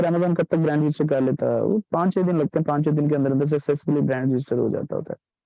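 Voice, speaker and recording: Speaking at a very fast pace with hardly any pauses, a man uses a fairly high pitch, fairly even intonation and very even loudness. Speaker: online course instructor. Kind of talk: lecture.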